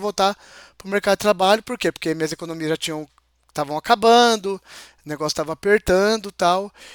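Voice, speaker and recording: Ordinary pitch variation in a dry, close sound with no echo. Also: man. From interior of São Paulo state, Brazil. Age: 40s. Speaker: interview guest, mechanical technician. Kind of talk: casual interview chat. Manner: halting, with many hesitations.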